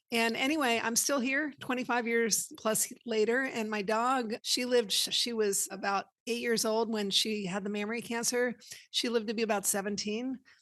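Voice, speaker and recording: A woman with an ordinary speaking voice, fairly high in pitch, with fairly even intonation at a moderate pace. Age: 60s. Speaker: veterinary technician. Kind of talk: podcast interview.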